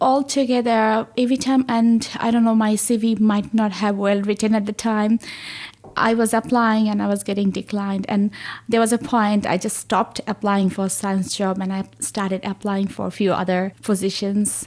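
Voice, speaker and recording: The speaker has a Bengali accent and talks at a moderate pace with fairly even intonation. The recording is very clean, with a silent background. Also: woman, fairly high pitch for a woman. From Bangladesh. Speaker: research associate in plant science. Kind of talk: podcast interview.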